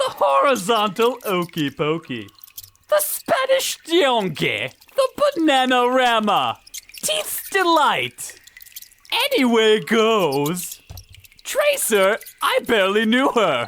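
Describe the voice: A put-on character voice goes at a slow pace with a fairly bright tone. Its pitch swings very wide.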